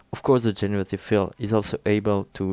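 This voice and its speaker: A man with a French accent speaks in a monotone, flat way, the sound dry with no echo and faint music behind him. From France. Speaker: software tutorial creator. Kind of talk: tutorial. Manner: halting, many fillers.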